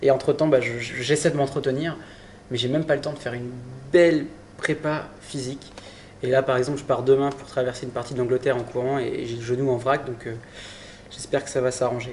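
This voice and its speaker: A man talks at a very fast pace with medium pitch and monotone, flat intonation, pausing long and often. His loudness swings widely, and background noise is noticeable. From Brittany, France (Saint-Malo). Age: 20s. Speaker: adventurer. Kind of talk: interview. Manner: halting, with repetitions.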